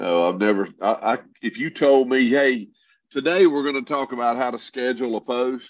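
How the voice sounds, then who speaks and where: A man's ordinary speaking voice, medium in pitch, at a moderate pace. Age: 60s. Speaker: entrepreneur. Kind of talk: casual chat.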